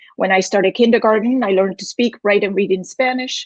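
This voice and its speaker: A somewhat breathy woman's voice, in a dry, close sound with no echo. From Spain, Galicia. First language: Galician. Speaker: university dean, former Spanish professor. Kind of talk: prepared speech. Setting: virtual event. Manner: formal.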